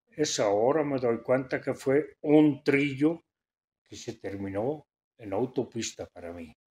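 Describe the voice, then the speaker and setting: A man at a very slow pace with lively intonation and big swings in loudness. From Belgium (Flanders). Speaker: theater critic and philologist. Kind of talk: interview. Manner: blunt, direct; halting, repeats words. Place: studio.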